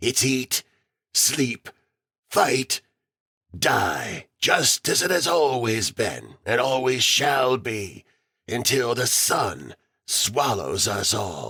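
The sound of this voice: Using a put-on character voice, a man with a medium pitch speaks in a raspy way at a very slow pace, with long, frequent pauses.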